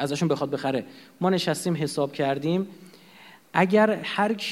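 Speaking very fast, the man has a fairly high voice. His intonation stays lively throughout. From Iran. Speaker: lecturer. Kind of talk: lecture. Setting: lecture hall with audience and projector.

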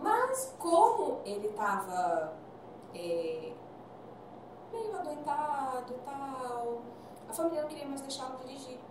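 Against noticeable background noise and audible room echo, a woman with a high pitch speaks at a very slow pace, with long, frequent pauses, very wide pitch swings and big swings in loudness. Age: 40s. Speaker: physician and nutritionist. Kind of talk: casual chat.

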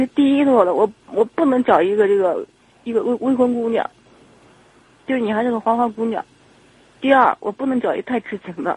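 The speaker talks at a fairly quick pace. Long, frequent pauses break up the speech. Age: 30s. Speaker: caller to advice radio show. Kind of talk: phone-in confession about relationship. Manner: halting, repetitive.

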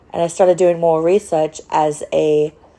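A woman speaks with an American accent at a fairly low pitch. Noticeable background noise runs underneath. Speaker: podcast host with ALS, former mental health worker. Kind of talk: casual monologue. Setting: home recording, in a wheelchair. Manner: rambling, halting.

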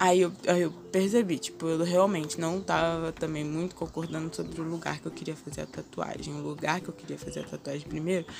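Through noticeable background noise, a woman talks at a fairly quick pace. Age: 20s. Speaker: podcaster. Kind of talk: casual monologue. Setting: home balcony, outdoors. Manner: chatty.

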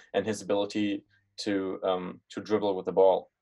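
With a German accent, a man talks at a moderate pace. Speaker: podcast host. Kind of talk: interview.

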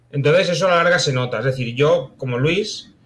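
A man talks in a somewhat breathy voice with a fairly high pitch. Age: 30s. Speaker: novelist. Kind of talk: casual chat.

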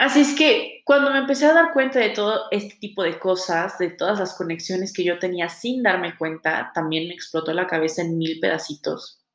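At a moderate pace and with hardly any pauses, a woman speaks at a medium pitch that swings very widely. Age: 20s. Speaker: podcast host, tarot reader. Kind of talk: solo monologue podcast introduction.

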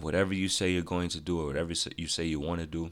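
Very deep, low-pitched male speech with vocal fry, flat and monotone at a fairly quick pace, on a very clean recording with a silent background. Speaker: podcast host. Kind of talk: casual solo podcast monologue. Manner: casual, positive, conversational.

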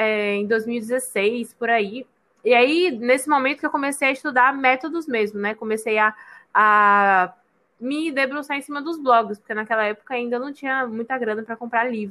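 A woman speaks at a moderate pace in a high, bright, sharp voice with ordinary pitch variation on a very clean recording with a silent background. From Bahia, Brazil (Salvador). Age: 20s. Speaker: personal organization coach. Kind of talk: casual interview.

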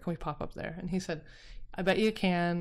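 With an American accent, a woman talks at a very fast pace in a fairly low pitch and fairly even intonation. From Utah. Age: 40s. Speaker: arts venue co-founder. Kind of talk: interview.

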